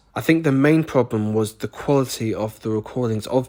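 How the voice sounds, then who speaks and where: On a very clean recording with a silent background, a man with a British accent speaks at a moderate pace. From Britain. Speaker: animator reacting to own old show. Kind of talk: reaction commentary. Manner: casual, sarcastic.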